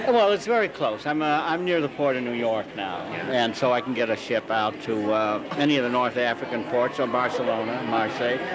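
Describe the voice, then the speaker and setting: Over noticeable background noise, a man with a medium pitch and ordinary pitch variation talks at a fairly quick pace with hardly any pauses. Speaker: author.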